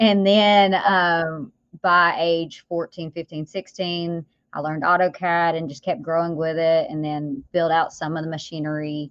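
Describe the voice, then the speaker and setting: A woman talks at a fairly slow pace in a Southern US accent, her intonation fairly even. Her loudness swings widely. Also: fairly low pitch for a woman. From US South. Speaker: business owner and author. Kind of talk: podcast interview.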